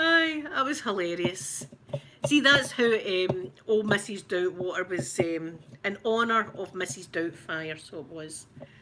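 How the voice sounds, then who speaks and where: Noticeable background noise sits behind a woman talking at a fairly slow pace. Her medium-pitched voice moves through very wide pitch swings. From Scotland, Glasgow. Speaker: ASMR creator. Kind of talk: ASMR unboxing chat.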